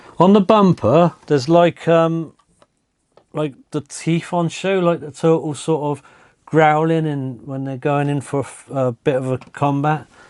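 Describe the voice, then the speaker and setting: A man with a British accent and fairly high pitch, fairly slow pace, fairly even intonation, big swings in loudness, and a quiet background. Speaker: diecast toy collector and reviewer. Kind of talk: casual toy review, show-and-tell.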